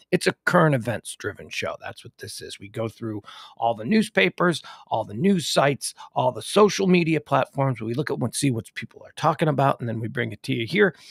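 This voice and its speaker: A fairly high-pitched man talks at a fairly quick pace, somewhat breathy, with very wide pitch swings and big swings in loudness. The sound is dry and close with no echo. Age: 50s. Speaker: podcast host. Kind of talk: live news talk show. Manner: animated.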